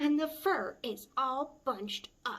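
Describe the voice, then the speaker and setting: In a put-on character voice, a woman growls at a high pitch with lively intonation and a fairly slow pace. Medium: read story. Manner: huffy, growly.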